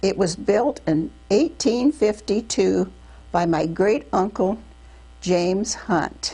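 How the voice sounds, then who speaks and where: Spoken with an American accent at a very slow pace, the voice has a dark, mellow tone, vocal fry and very even loudness. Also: woman, medium pitch for a woman. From Iowa, USA. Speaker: WWII Navy WAVES veteran. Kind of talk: oral history interview answer. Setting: interview recording.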